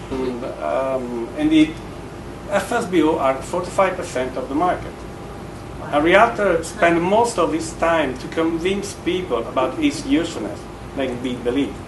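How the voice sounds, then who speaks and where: A man with a strong Italian accent talks at a moderate pace, his fairly high pitch carried by lively intonation. Noticeable background noise and audible room echo fill the recording. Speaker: real estate agent. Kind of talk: conference speech. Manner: halting, many fillers.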